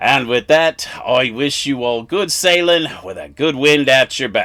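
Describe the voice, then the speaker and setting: A man puts on a character voice pitched fairly high. He speaks at a fairly slow pace. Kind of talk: humorous product review in character.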